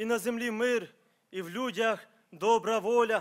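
Over a quiet background, a man speaks at an extremely high pitch. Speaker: preacher. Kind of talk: sermon. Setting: church. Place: church. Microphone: podium.

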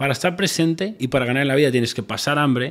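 A man with a Spanish accent at a medium pitch and a very fast pace, with ordinary pitch variation, in a very clean recording with a silent background. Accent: Peninsular Spanish. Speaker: entrepreneur. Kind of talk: interview chat.

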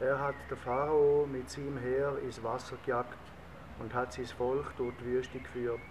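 A man's fairly slow, monotone delivery with flat intonation over noticeable background noise. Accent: Swiss German. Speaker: reader. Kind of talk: psalm reading in dialect. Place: garden. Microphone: camera far.

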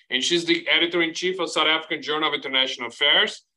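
A man speaks with a Portuguese accent in a bright, sharp tone against a quiet background. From Brazil. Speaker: professor and moderator; professor, moderator. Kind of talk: panel moderation. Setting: video call. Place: home room. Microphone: video call.

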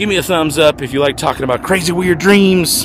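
A man talks in a high pitch. There is noticeable background noise. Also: dry sound with no echo. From New Mexico. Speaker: vlogger. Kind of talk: casual vlog monologue. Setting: outdoors, walking in neighborhood. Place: street. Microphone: not so good quality, not in studio; phone near.

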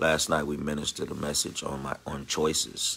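Noticeable background noise runs through the clip. The man's pace is moderate. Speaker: minister. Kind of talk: casual talk. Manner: halting.

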